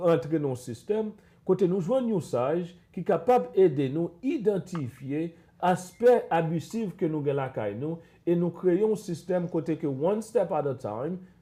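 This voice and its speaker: A man in a Haitian accent speaks at a moderate pace with a dark, mellow tone. His high pitch makes very wide swings. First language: Haitian Creole. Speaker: psychologist. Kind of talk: panel discussion. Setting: live stream.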